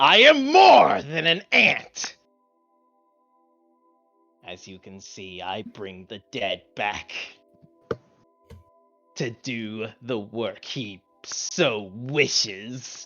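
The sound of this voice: In a put-on character voice pitched medium for a man, he talks at a very slow pace with long, frequent pauses, big swings in loudness and ordinary pitch variation, over hissing and faint background music.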